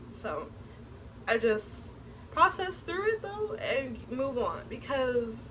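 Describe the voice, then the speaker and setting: A soft-spoken woman amid noticeable background noise. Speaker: vlogger. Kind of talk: casual vlog monologue. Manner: reserved, soft-spoken.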